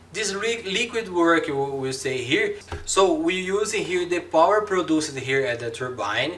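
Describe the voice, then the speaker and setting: In a Brazilian accent, a man speaks at a fairly slow pace with very wide pitch swings, over noticeable background noise and audible room echo. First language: Portuguese. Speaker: engineering lecturer. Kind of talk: lecture. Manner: halting, many fillers and repetitions.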